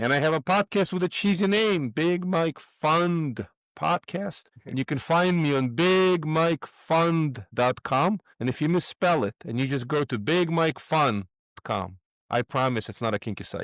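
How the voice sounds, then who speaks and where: Speaking with a Russian accent, a man uses lively intonation at a fairly high pitch and a fairly slow pace. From Moldova. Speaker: real estate investor. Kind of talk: podcast interview.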